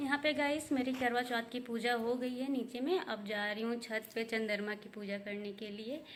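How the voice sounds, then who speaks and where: A woman's fairly high-pitched voice at a moderate pace, with ordinary pitch variation, hardly any pauses and noticeable background noise. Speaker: housewife vlogger. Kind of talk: vlog narration. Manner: casual, conversational.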